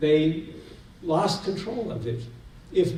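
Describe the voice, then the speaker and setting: A man with an American accent speaks amid noticeable background noise and audible room echo. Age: 60s. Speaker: seminar speaker. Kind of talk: lecture.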